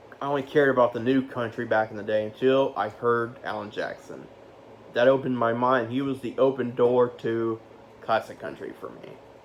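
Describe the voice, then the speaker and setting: A man talks at a fairly quick pace and medium pitch with monotone, flat intonation. His loudness swings widely, and background noise is noticeable. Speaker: youtuber ranking music. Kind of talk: casual vlog countdown. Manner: halting, self-correcting.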